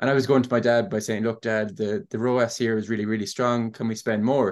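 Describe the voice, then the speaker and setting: A man speaks at a very fast pace with an Irish accent. His intonation stays fairly even over a quiet background. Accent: Irish (Clare). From Ireland, Ennis, County Clare. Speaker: software startup co-founder. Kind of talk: podcast interview.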